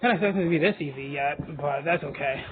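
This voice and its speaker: A man's fairly high voice at a very fast pace, ordinary pitch variation, over noticeable background noise. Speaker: mobile game video creator. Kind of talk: gameplay commentary. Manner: animated.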